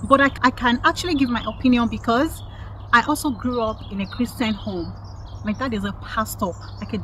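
Over light background noise, a woman talks at a moderate pace in a dry sound with no echo. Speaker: lifestyle vlogger. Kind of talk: opinion commentary vlog. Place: garden. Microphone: phone near.

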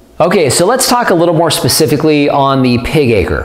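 A man speaks with ordinary pitch variation. The room echo is audible. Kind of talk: explanatory vlog talk. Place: home room. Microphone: lapel.

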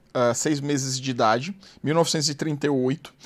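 A man's voice sits at medium pitch. His pitch variation is ordinary. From Fortaleza, Ceará, Brazil; Ceará, Brazil. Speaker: former investment banker; podcast guest. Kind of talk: interview storytelling. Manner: animated. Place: studio. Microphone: studio mic.

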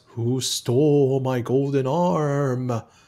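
A man's put-on character voice at a medium pitch. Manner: wailing.

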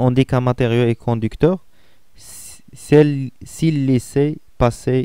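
With a Moroccan accent, a man speaks at a very slow pace in a dark, mellow tone with fairly even intonation. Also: dry, close sound with no echo. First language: Moroccan Arabic (speaking French). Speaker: physics teacher. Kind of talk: lecture. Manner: halting.

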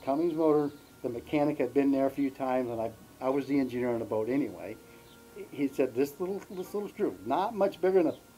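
Ordinary pitch variation at a very fast pace, with faint music in the background. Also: man. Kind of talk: interview storytelling. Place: garden.

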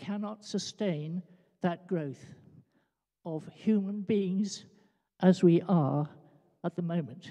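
A woman's dark, mellow voice with lively intonation, at a very slow pace, over a quiet background. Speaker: audience member. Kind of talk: audience question. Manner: loud. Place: church.

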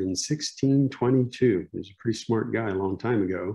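With a Pennsylvania accent, a man talks at a fairly low pitch with ordinary pitch variation. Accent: Pennsylvania American. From Lebanon, Pennsylvania. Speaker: local history lecturer. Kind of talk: lecture.

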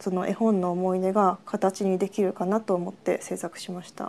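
At a moderate pace, a woman speaks at a medium pitch with a dark, mellow tone. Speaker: artist. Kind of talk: artist commentary.

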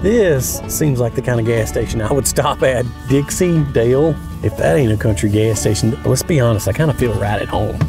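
A man speaks with a dry sound that has no echo. Music is clearly heard in the background. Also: moderate pace. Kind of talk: casual vlog chat. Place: car.

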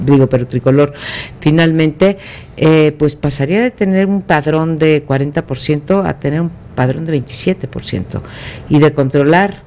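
A woman talks at a very slow pace in a very deep, low pitch, using ordinary pitch variation. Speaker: political analyst commentator. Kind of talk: commentary. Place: studio. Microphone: studio mic.

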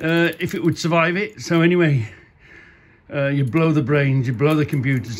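A man is the speaker, moving at a moderate pace. The pitch shifts in an ordinary way. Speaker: car enthusiast vlogger. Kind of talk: casual vlog chat. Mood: jovial, laughing. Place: garage. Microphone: phone near.

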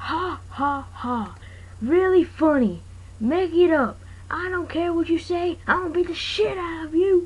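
An extremely high-pitched, cartoonish character voice moves at a moderate pace. Light background noise sits behind it. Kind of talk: amateur comic overacting. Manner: annoyed, threatening.

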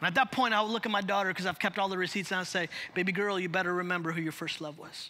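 In an American accent, a man with a high voice talks very fast in a raised, projected, animated tone. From Chicago. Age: 40s. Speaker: pastor. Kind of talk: sermon. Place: church. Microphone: headset.

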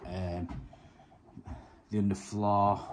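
Loud background noise fills the recording. The speaker is a man. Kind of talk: casual vlog chat. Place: home room. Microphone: phone near.

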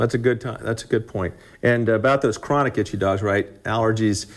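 A man at a fairly quick pace, with little pitch movement

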